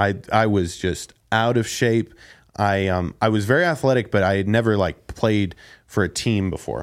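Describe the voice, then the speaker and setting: On a very clean recording with a silent background, a man speaks at a moderate pace. His pitch is fairly low and varies in an ordinary way. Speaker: former special education teacher. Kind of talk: casual chat. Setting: studio. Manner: calm.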